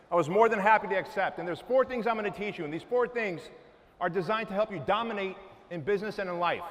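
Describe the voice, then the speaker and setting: Very fast speech with ordinary pitch variation comes through over noticeable background noise. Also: man, high pitch for a man. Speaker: motivational speaker. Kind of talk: motivational talk. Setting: stage with audience. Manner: forceful.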